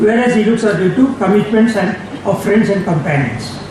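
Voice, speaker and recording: Noticeable background noise and audible room echo accompany a man speaking in a high pitch with ordinary pitch variation. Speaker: seminar speaker. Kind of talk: lecture. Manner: fast.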